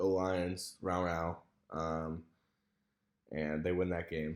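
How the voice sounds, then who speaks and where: In a very clean recording with a silent background, a man speaks. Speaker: sports video host. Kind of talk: casual solo sports preview. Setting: indoors in a room at home. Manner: quieter, less loud than usual; casual with many fillers.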